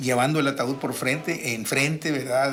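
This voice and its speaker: This man talks at a moderate pace with a fairly high pitch. Background noise is noticeable. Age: 70s. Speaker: boxing radio commentator. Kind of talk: casual radio chat.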